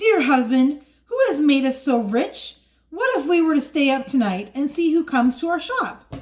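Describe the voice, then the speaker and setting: The speaker uses a put-on character voice. The intonation is lively and the pace moderate. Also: woman, high pitch for a woman. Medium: read story.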